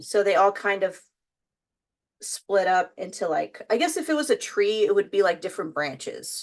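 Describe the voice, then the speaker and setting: A woman with a Texas accent at a fairly slow pace, medium in pitch, with ordinary pitch variation, against a quiet background. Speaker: YouTuber, makeup and music content creator. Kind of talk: casual vlog chat while doing makeup. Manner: casual, many fillers and restarts.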